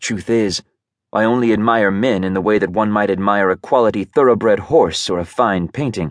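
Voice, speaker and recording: An unremarkable speaking voice from a man, fairly low in pitch with ordinary pitch variation, moves at a fairly quick pace in a dry, close recording with no echo over a quiet background. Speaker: audiobook narrator. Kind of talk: dramatic first-person audiobook narration. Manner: intimate, brooding, emotionally charged; shifts into flustered, defensive tone, with lively voiced dialogue.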